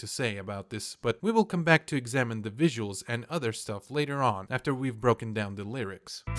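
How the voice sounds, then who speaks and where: This man, with a Russian accent, speaks at a fairly quick pace with lively intonation. The sound is dry and close with no echo, on a very clean recording with a silent background. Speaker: YouTube commentator. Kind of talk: commentary video.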